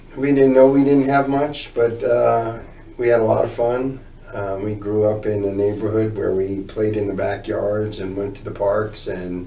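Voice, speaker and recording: The speech moves at a moderate pace with fairly even intonation. Audible room echo and noticeable background noise are present. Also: man, fairly low pitch for a man. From northern New Jersey, near Newark. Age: 60s. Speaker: recovering addict telling his story. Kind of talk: interview testimony.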